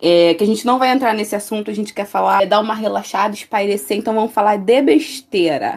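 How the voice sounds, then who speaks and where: At a fairly quick pace and with hardly any pauses, a woman talks in a normal speaking voice at medium pitch with ordinary pitch variation. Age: 20s. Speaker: student podcast co-host, singer. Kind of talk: casual chat.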